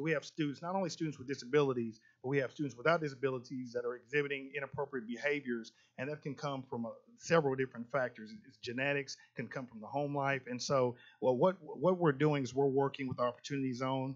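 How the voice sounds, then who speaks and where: At a very fast pace, a man of medium pitch speaks with big swings in loudness. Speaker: school district administrator. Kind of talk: presentation at a board meeting. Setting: public board meeting. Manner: animated, with many repetitions.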